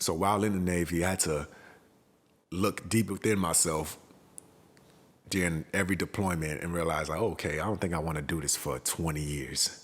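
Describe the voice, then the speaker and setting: A man's very deep, low voice in an American accent on a very clean recording with a silent background. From Houston, Texas. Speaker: podcast founder, Navy veteran. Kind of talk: personal story monologue. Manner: casual.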